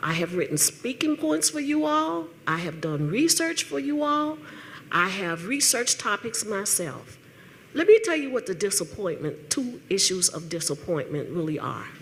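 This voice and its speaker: A woman at a medium pitch swings her voice very widely up and down. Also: moderate pace. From Tennessee, Nashville. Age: 60s. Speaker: retired teacher and political activist. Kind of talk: public comment at town hall. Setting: town hall meeting with audience. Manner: animated.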